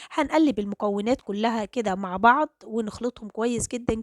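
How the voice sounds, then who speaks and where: With an Egyptian accent, a woman speaks at a moderate pace in a fairly high pitch with ordinary pitch variation. The sound is dry and close with no echo. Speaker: cooking channel host. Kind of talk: cooking tutorial.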